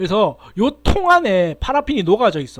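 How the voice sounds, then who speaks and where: A man speaks in an animated tone with very wide pitch swings. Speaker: university lecturer. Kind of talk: lecture. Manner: fast.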